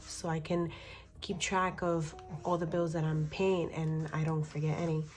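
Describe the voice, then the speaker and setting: Music plays in the background as a woman speaks. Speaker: budgeting vlogger. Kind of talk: casual tutorial.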